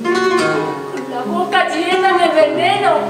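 Audible room echo with loud music in the background. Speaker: stage actor. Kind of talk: theatrical monologue. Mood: bitter, weary. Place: stage. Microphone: camera far.

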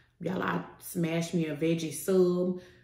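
A woman's fairly low, dark and mellow voice carries audible room echo. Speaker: food vlogger. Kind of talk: casual vlog chat while eating. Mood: relaxed, playful. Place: home room.

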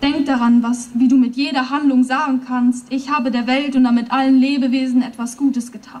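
A high-pitched woman's voice at a moderate pace, monotone and flat in intonation. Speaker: poetry slam performer. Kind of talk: poetry slam performance at a rally. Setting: outdoors, PA system. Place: stage. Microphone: podium.

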